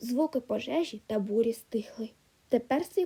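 The clip is read in a natural reading voice.

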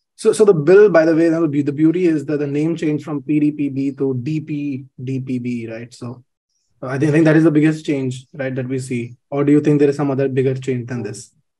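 Against a quiet background, a man talks at a moderate pace. His tone is dark and mellow. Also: fairly even intonation. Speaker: webinar host. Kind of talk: webinar talk. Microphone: webcam.

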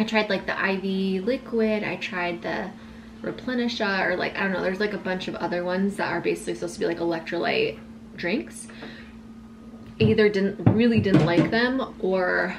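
Noticeable background noise runs under the recording. A woman speaks at a moderate pace. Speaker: lifestyle vlogger. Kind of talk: casual vlog chat. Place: kitchen. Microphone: camera far.

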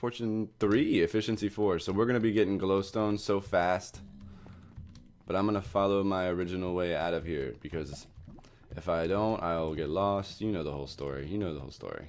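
A man speaks at a fairly quick pace in a very deep, low voice. His pitch varies in an ordinary way, with music playing in the background. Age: 20s. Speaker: gaming youtuber. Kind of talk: gameplay commentary. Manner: casual, laughing.

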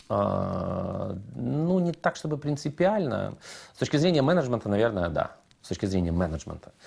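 A man with a medium pitch speaks in very wide pitch swings. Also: moderate pace, very even loudness. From Ukraine, Odesa; Ukraine. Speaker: radio producer and host; radio producer, host. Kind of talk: interview. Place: studio. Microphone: lapel.

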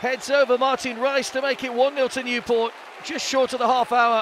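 Crowd noise fills the background as a man speaks at an extremely high pitch. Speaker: football commentator. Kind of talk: live football commentary highlights. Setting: match commentary over highlights reel. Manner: stats-laden, brisk, informative.

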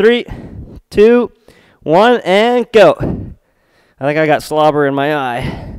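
A very slow man with a high pitch and very wide pitch swings, dry with no echo, over a quiet background. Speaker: fitness instructor. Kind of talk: workout instruction. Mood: upbeat, amused by dog. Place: home room.

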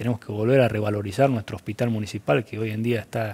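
A man's dark, mellow voice at medium pitch. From Argentina, Córdoba province (Viamonte); Córdoba province, Argentina. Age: 30s. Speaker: mayor-elect and farmer; elected mayor. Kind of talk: interview. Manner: halting. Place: studio. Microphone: lapel.

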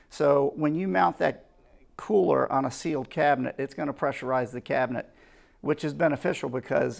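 A man speaks with vocal fry. The background is quiet. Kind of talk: product explanation.

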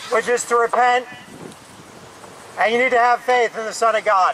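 A raised, projected voice comes at a moderate pace over light background noise. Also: man. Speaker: street preacher. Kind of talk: sermon. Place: street.

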